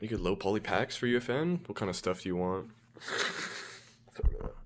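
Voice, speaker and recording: A quiet man of medium pitch with lively intonation at a fairly quick pace. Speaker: game developer streamer. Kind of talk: casual livestream chat.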